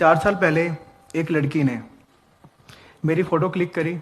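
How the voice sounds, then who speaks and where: Fairly even intonation marks this man's speech, pitched fairly high. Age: 30s. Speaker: man recounting false harassment accusation. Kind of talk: personal testimony.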